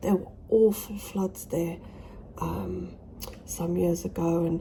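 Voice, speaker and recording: A woman whispers with a British accent at a fairly slow pace. Noticeable background noise sits behind her. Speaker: smallholder vlogger. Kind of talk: casual vlog. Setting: indoors in conservatory. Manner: whispering; halting.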